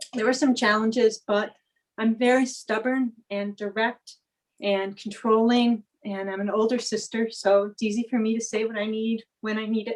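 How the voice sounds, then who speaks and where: Her voice fairly high, a woman speaks at a moderate pace with monotone, flat intonation. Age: 40s. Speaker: veterinarian and clinic owner. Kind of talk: panel discussion.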